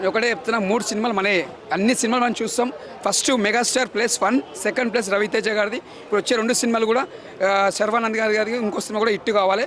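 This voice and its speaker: A high-pitched man with fairly even intonation and very even loudness, over noticeable background noise. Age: 80s+. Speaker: moviegoer, fan. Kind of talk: street interview answer.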